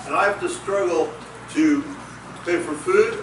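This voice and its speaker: A man speaks at a moderate pace with ordinary pitch variation. Noticeable background noise and audible room echo accompany him. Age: 70s. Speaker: political candidate. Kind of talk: candidate forum answer.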